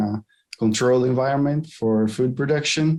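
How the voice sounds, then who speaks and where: A man talks with a Portuguese accent at a moderate pace. His tone is dark and mellow, his intonation fairly even. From Brazil. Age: 20s. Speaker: aquaculture auditor. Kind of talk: career interview. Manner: halting, with fillers.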